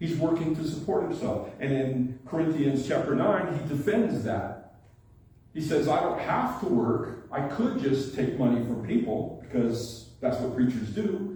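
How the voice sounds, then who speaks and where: A man speaks slowly-ish, at a fairly slow pace and a fairly high pitch, with noticeable background noise and audible room echo around him. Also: lively intonation. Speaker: pastor. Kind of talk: sermon. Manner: conversational.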